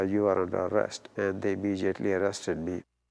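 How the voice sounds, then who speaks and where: With a Pakistani accent, a man speaks at a fairly low pitch. His intonation is monotone and flat. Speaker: former detainee. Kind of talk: testimony. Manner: hesitant, many fillers.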